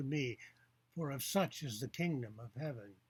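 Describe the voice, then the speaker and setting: A man talks at a moderate pace with ordinary pitch variation and a somewhat breathy sound. The recording is very clean, with a silent background. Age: 70s. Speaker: author and atheist commentator. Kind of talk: video commentary on a book.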